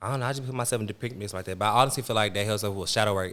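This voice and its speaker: A man speaks very fast in a fairly low voice with a bright, sharp tone and ordinary pitch variation. The recording is very clean, with a silent background. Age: 20s. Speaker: podcast host. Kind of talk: casual chat.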